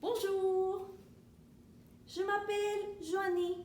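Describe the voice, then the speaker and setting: A woman speaks with an extremely high pitch. Room echo is audible around her voice. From Venezuela. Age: 30s. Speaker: French teacher. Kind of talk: language lesson. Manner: slow, repetitive.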